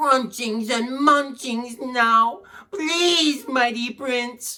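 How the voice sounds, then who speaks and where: At a very slow pace, the speaker puts on a character voice with a fairly high pitch. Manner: whimpering, pleading.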